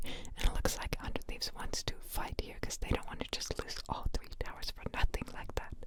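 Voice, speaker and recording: A woman is whispering. Background noise is noticeable. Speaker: ASMR gaming commentator. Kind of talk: esports match commentary / reaction, relaxed talk. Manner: whispered, soft-spoken.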